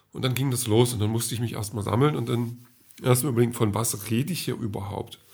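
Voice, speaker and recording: A man talks very fast at a medium pitch with fairly even intonation. His voice is somewhat breathy. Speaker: podcaster. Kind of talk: casual monologue diary. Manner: hesitant, many filler sounds.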